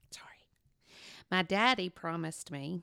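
A woman's very deep, low voice with a bright, sharp tone and vocal fry, at a fairly slow pace on a very clean recording with a silent background. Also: dry, close sound with no echo. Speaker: marriage podcast co-host and worship leader. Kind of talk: casual chat with reading aloud from her journal.

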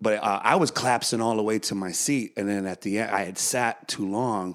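Energetic and animated delivery at a fairly quick pace, in a very clean recording with a silent background. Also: man. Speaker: comedian and musician. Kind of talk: casual interview chat. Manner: energetic, animated.

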